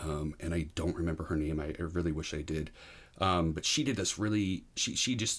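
With an American accent, a man speaks at a moderate pace in a very deep, low pitch and fairly even intonation, on a very clean recording with a silent background. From New Hampshire, US. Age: 40s. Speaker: educator, podcast guest. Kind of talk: personal recovery story in interview. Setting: in person, host's room. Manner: hesitant, many fillers.

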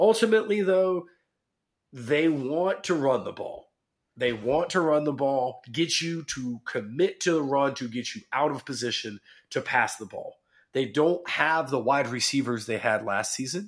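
Someone with a normal speaking voice talks in an American accent at a fairly slow pace. The intonation is lively, and the recording is very clean with a silent background. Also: man, fairly high pitch for a man. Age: 30s. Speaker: sports podcast co-host. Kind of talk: casual chat.

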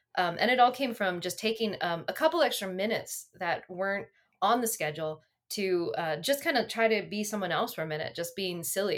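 Over a silent background in a very clean recording, a woman with an American accent talks in a normal speaking voice at a medium pitch, moving at a fairly quick pace with lively intonation. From Pennsylvania, Berks County. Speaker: defense engineer. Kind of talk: casual chat.

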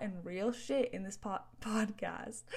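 A woman speaks very slowly in a western Canadian accent. Her pitch sits fairly high, with ordinary variation. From northern Alberta, Canada. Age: 20s. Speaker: podcast host and entrepreneur. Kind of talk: casual solo monologue. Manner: animated.

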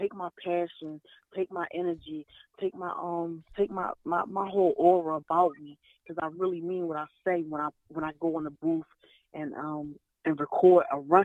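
Her intonation fairly even and her loudness swinging widely, a woman speaks at a moderate pace with a fairly low pitch. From North Philadelphia. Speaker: rapper. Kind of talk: interview answers. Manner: hesitant, many 'um' pauses.

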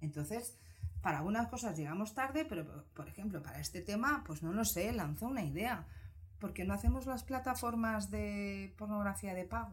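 Audible room echo hangs around this woman's voice. She speaks at a moderate pace. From Spain, Barcelona. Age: 40s. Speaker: psychologist. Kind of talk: casual interview.

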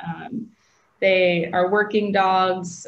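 A woman's somewhat breathy voice with a Midwestern American accent, monotone and flat, at a very slow pace. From US Midwest, Aurora, Illinois. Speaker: speech pathologist. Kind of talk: interview.

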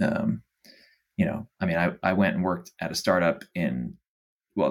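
Here a man talks with an American accent at a fairly quick pace. The recording is very clean, with a silent background. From Dallas, Texas. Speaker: startup founder. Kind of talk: interview.

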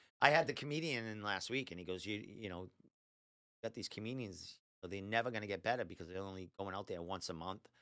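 His tone is bright and sharp, with fairly low pitch and ordinary variation. The man talks at a very fast pace. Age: 50s. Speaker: podcast host. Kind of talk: casual chat, interview. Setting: studio.

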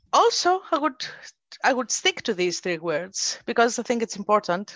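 Here a plain, everyday voice speaks at a moderate pace with lively intonation, the sound dry and close with no echo. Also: woman. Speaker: podcast host. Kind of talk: interview. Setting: video call.

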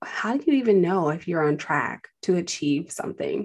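An ordinary speaking voice belongs to a woman with a fairly low pitch. She talks at a moderate pace over a quiet background. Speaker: podcast host and finance advisor. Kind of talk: casual interview chat.

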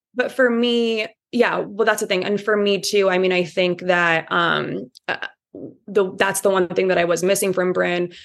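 A woman with a Midwestern US accent speaks at medium pitch and a moderate pace. Her loudness stays very even and her intonation fairly even. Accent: US Midwest. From Indiana. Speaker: podcast guest, reality TV fan. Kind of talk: casual chat.

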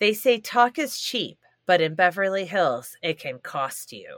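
With vocal fry and a medium pitch, a woman speaks at a fairly slow pace, her pitch swinging very widely and her loudness shifting in big swings. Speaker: guest. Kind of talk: casual chat.

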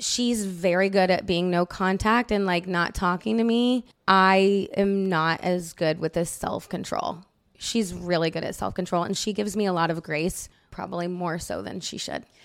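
This woman's voice sits at a medium pitch. Her pace is moderate. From Indiana, US Midwest. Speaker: TikTok creator. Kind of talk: casual chat.

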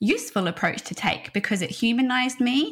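A woman with an Australian accent, fairly high in pitch, with lively intonation at a moderate pace. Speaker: HR consultancy founder. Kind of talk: interview conversation. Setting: video call.

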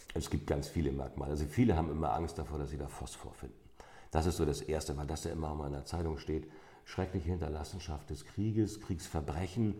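A man with a very deep, low pitch and vocal fry talks very fast in a dark, mellow tone, with audible room echo around him. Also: ordinary pitch variation. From North Frisia, Schleswig-Holstein. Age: 50s. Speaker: amber museum owner. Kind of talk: interview. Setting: in his shop.

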